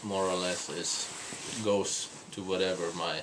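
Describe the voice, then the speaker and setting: This man's very deep, low voice moves at a fairly slow pace over noticeable background noise. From Norway, small island. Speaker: spiritual couple vlogger. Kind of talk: casual chat. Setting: hotel room in London. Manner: halting, many fillers and repeats.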